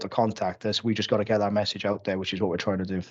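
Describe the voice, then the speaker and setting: In a Cardiff accent, a man speaks with monotone, flat intonation against a quiet background. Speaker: police officer. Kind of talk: council committee meeting. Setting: video call. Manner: halting, many false starts.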